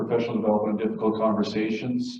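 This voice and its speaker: A man talks very fast at a medium pitch. His intonation is monotone and flat. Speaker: school division administrator. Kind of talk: public presentation. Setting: meeting room with small audience.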